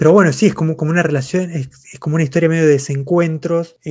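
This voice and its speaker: A very clean recording with a silent background. A man speaks at a fairly high pitch with fairly even intonation. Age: 30s. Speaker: comics podcast host. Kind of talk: casual chat. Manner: halting, many fillers and repetitions.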